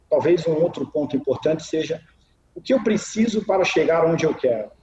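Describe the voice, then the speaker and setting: A man's high pitch at a fairly quick pace, with lively intonation and very even loudness. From Minas Gerais, Brazil. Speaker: marketing executive and biologist. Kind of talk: interview answer. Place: home room. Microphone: video call.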